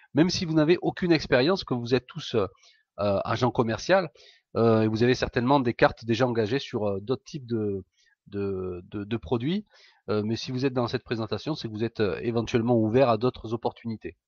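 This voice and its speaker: Against a quiet background, a man with a medium pitch talks at a fairly quick pace. His pitch varies in an ordinary way, and the sound is dry and close with no echo. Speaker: entrepreneur. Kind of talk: sales pitch. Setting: live webinar. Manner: hesitant, many fillers.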